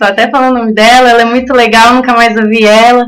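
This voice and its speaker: A woman talks with fairly even intonation. Her voice is high-pitched. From Santa Catarina, Brazil. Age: 20s. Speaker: artisan and mother. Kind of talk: casual radio interview. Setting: community radio studio.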